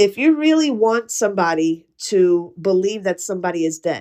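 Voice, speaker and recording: On a very clean recording with a silent background, a woman at medium pitch speaks at a fairly slow pace in a dark, mellow tone, her pitch swinging very widely. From US, Puerto Rican and Ukrainian heritage. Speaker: podcast host. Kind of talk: casual monologue. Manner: conversational, with fillers.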